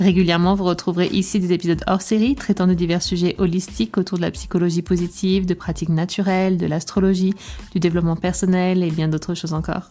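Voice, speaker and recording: A woman speaks with a fairly low pitch and a dark, mellow tone. Her intonation stays fairly even. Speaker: podcast host and crystal therapy guide. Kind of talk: guided meditation; podcast introduction. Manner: soft-spoken; slow and calm.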